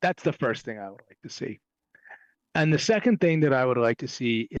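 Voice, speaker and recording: Lively intonation over a quiet background, with a dry, close sound and no echo. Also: man. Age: 50s. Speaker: cannabis industry consultant. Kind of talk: podcast interview. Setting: wearing a headset. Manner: animated.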